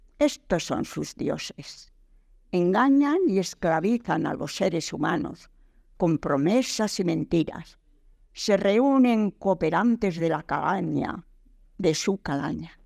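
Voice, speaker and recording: A woman with a medium-pitched voice speaks at a very slow pace in a solemn, stern tone, yet with lively intonation. The recording is very clean, with a silent background. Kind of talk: poetry reading. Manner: solemn, declamatory, stern, rhythmic.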